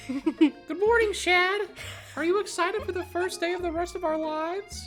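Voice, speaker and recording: Over clear music in the background, a man uses a put-on character voice at an extremely high pitch. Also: moderate pace. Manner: cheery, excited.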